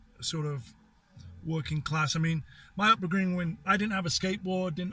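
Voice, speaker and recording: A high-pitched man talks at a fairly quick pace with an American accent. His intonation stays fairly even, and music plays in the background. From northern England, Sheffield. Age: 50s. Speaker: car collector. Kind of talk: interview.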